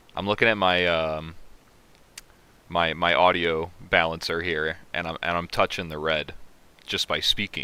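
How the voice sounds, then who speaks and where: A man speaks loudly in a very deep, low pitch with a bright, sharp tone. His fairly even delivery runs at a fairly slow pace, broken by long, frequent pauses. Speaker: livestream host. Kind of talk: casual livestream chat. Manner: halting.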